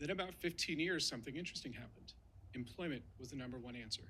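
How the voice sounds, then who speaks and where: Vocal fry runs through a man's bright, sharp tone and lively intonation. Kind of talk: formal speech. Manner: fast.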